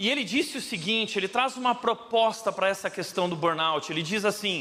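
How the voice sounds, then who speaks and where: The tone is bright and sharp, with lively intonation at a moderate pace. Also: man. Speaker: pastor. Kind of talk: sermon.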